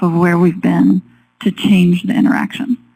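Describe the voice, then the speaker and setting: A woman speaks at a fairly slow pace in a dark, mellow tone with ordinary pitch variation. Her voice is somewhat breathy. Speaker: forestry researcher and educator. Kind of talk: webinar presentation. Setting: webinar. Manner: soft-spoken.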